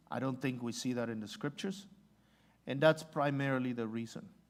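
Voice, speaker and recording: This man speaks with a Spanish accent at a medium pitch. His pitch variation is ordinary. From Mexico. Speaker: missionary. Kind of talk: church Q&A talk. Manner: halting, many fillers.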